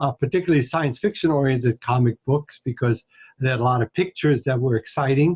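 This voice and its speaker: Somewhat breathy and very even in loudness, a man talks at a very fast pace with ordinary pitch variation in a dry, close sound with no echo. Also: medium pitch for a man. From Hungary, moved to US at 11. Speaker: astronomy professor. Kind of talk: interview. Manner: hesitant, many fillers.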